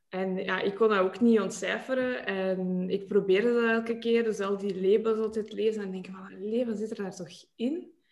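Speaking at a moderate pace with hardly any pauses, a woman with a medium pitch keeps her intonation fairly even while her loudness swings widely. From Kazakhstan and Russia, then Belgium from age 13. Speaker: beauty brand founder. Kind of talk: casual interview.

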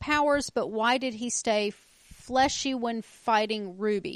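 A woman talks in an ordinary speaking voice, fairly high in pitch, with fairly even intonation. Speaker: podcast co-host. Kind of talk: casual chat.

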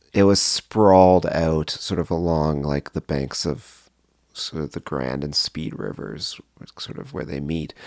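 In a Canadian accent, a man with a very deep, low pitch speaks at a fairly slow pace with ordinary pitch variation, the sound dry and close with no echo. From Canada, Cambridge, Ontario. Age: 40s. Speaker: songwriter and record label owner. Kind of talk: casual interview.

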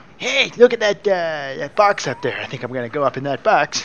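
A man does a put-on character voice at a fairly high pitch and a fairly quick pace, with clear background noise behind him. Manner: not cat-like, ordinary speech.

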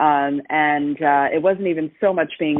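A woman with a very deep, low pitch is speaking. She keeps a moderate pace and fairly even intonation. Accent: American. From New Jersey. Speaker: mindset coach. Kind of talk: interview. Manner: dynamic.

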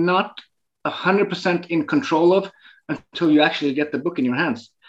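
Here a man speaks with a high pitch. His pitch variation is ordinary. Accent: Norwegian. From northern Norway. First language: Norwegian. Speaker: photographer. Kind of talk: interview. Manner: halting.

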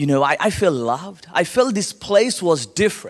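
Animated in tone, a man with a high voice talks at a fairly slow pace, his pitch swinging very widely. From Calcutta, India. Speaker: guest speaker at church service. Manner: animated, humorous storyteller.

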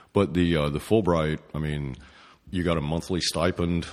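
A man's voice with vocal fry, fairly even intonation and a moderate pace against a quiet background. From East Tennessee. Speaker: painter. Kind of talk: interview. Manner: halting.

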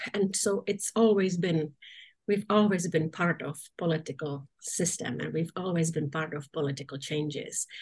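Fairly low, somewhat breathy speech from a woman at a moderate pace with ordinary pitch variation. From Czechoslovakia. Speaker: nursing association executive director. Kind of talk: interview.

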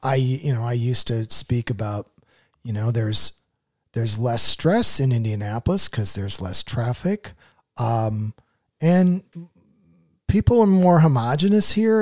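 A man speaks with an American accent at a fairly slow pace. The recording is very clean, with a silent background. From Iowa, US Midwest. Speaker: comedian and writer. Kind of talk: casual interview chat.

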